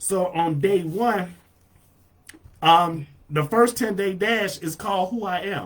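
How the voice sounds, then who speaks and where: Loud and animated in tone, a man speaks with a high pitch. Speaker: marketing coach streaming live. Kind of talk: live stream tutorial. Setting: live video stream.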